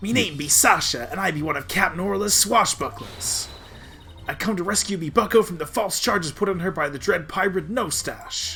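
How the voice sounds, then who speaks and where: A man speaks at a moderate pace in a high-pitched, put-on character voice, with clear background noise behind him. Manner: swaggering, theatrical.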